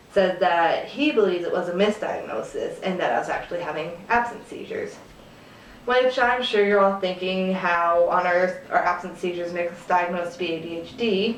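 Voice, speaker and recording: Over noticeable background noise, a woman at medium pitch speaks at a moderate pace with ordinary pitch variation. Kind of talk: casual talk to camera. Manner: hesitant, with fillers.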